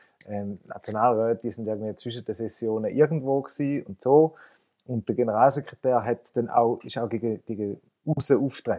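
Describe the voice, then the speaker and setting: A man's dark, mellow, medium-pitched voice moves at a moderate pace with fairly even intonation and big swings in loudness, in a dry, close sound with no echo. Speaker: political journalist. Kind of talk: casual chat.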